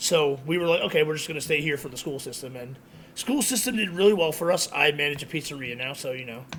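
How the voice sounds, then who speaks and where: Over noticeable background noise, a man speaks at a very fast pace with fairly high pitch, ordinary pitch variation and big swings in loudness. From Connecticut, US (born in Queens, New York). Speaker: social media creator, pizzeria manager. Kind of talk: casual chat.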